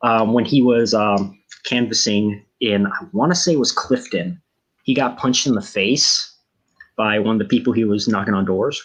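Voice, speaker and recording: A man with an American accent and a plain, everyday voice, at medium pitch, moderate pace and ordinary pitch variation. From US, Washington DC area. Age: 20s. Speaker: election analyst. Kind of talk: live commentary.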